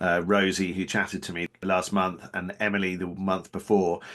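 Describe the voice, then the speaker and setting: Someone speaks with a Norfolk accent against a quiet background. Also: man. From North Norfolk, England. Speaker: podcast host. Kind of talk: casual interview chat.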